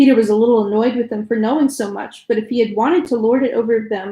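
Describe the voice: The clip is someone reading aloud plainly. Intonation remains fairly even throughout.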